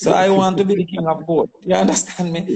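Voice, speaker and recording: A man with a Jamaican accent, high-pitched, at a moderate pace. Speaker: politician and goat farmer. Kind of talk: interview.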